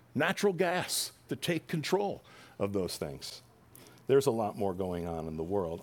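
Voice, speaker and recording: Fairly low male voice with an American accent, very wide pitch swings and a moderate pace, on a very clean recording with a silent background. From New Jersey. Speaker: pastor. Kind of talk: sermon.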